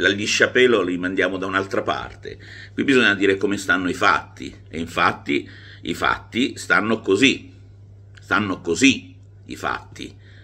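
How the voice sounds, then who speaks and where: Ordinary pitch variation at a fairly slow pace, with long, frequent pauses and music in the background. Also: man, fairly low pitch for a man. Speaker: YouTube sports commentator. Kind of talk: angry rant against referees, sarcastic tirade; informal monologue to camera. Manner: indignant, sarcastic, emphatic, repetitive. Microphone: phone near.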